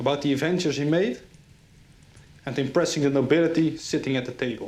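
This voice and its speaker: A man talks at a fairly quick pace with a Dutch accent. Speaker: history channel host. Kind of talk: scripted narration.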